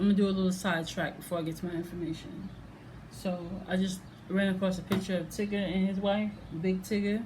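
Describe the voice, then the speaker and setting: The room echo is clearly audible. A woman speaks with flat, monotone intonation. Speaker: reaction video vlogger. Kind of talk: casual vlog monologue. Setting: at home.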